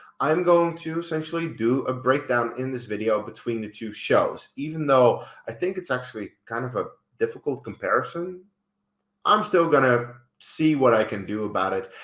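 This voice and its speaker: A man with a fairly high pitch sounds animated, his intonation lively. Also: moderate pace. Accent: Dutch. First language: Dutch. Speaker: YouTuber and film reviewer. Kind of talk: casual video commentary.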